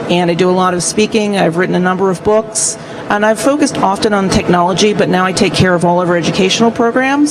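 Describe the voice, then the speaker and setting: Over noticeable background noise, a woman speaks at a fairly quick pace. Her pitch is medium, with ordinary variation. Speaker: print industry executive. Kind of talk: panel introduction. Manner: soft-spoken. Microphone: too quiet, hard to hear.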